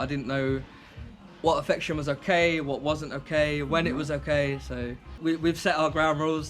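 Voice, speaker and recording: A man in a southern English accent at a moderate pace, fairly high in pitch, with monotone, flat intonation over music in the background. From southern England, west. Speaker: YouTuber in couple channel. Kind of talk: casual chat.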